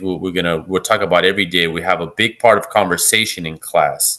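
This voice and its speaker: An American accent from a man, set against a quiet background. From California, US. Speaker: English teacher. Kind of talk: casual chat. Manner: halting, many fillers and repetitions.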